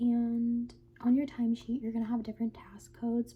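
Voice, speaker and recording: Soft-spoken and somewhat breathy, a woman talks at a fairly quick pace with a fairly high pitch. Her tone is gentle, dark and mellow. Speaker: ASMR creator. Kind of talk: ASMR roleplay as an HR manager giving a new-hire orientation. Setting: quiet close-mic recording with typing and mouse clicking sounds. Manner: soft-spoken, gentle.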